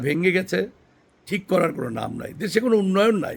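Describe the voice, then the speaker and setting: A man's voice with ordinary pitch variation. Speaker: political commentator. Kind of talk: opinion monologue.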